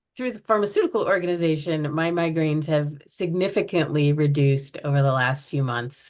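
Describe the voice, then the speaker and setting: With an American accent, a woman talks at a moderate pace, her pitch very deep and low. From US Midwest, Chicago. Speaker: chronic pain art project organizer. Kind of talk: podcast interview.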